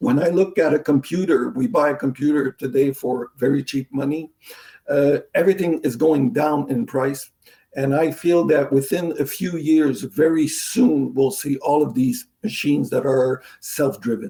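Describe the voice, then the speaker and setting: A man talks in a French accent at a moderate pace. His pitch is fairly high, with ordinary variation. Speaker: hydraulics sales manager. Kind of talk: interview.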